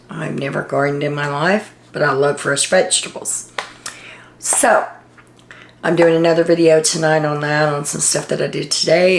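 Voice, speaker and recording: A woman's very deep, low-pitched voice at a fairly quick pace, fairly even in intonation, with noticeable background noise. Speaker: reality TV commentator. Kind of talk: casual video monologue.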